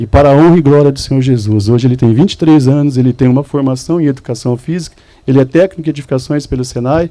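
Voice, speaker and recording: Talking at a very fast pace in a Mato Grosso do Sul accent, a man has a fairly high pitch, ordinary pitch variation and a dark, mellow tone. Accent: Mato Grosso do Sul Brazilian. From Mato Grosso do Sul, Brazil. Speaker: church speaker giving testimony. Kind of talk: testimony. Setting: men's church event with audience.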